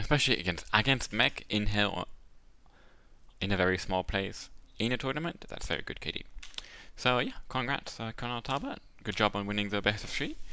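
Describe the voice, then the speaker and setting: Bright and sharp in tone, a man with a fairly low pitch and ordinary pitch variation talks at a fairly quick pace, broken by long, frequent pauses. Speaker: game commentator. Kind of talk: live commentary. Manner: mumbling.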